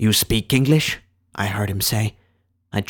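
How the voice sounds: With a quiet background, someone reads in a natural voice whose pitch varies in an ordinary way.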